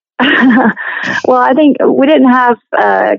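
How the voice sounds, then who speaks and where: A woman talks with a Southern US accent. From Tennessee, Nashville area. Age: 50s. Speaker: musician and actress. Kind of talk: casual interview.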